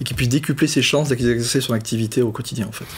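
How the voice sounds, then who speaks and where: A man with a southern French accent speaks at a very fast pace and fairly even intonation amid noticeable background noise. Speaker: fintech co-founder, former private banking director. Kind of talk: interview. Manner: hesitant, many fillers and repetitions.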